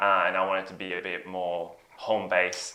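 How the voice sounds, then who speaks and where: A non-native accent at a moderate pace. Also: man. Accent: foreign accent, noticeable. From Belgium. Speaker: software engineer. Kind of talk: interview. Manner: hesitant, many fillers.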